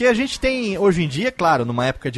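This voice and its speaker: Music plays behind a man speaking in an animated tone. His intonation is lively. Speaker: podcast host. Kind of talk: casual chat.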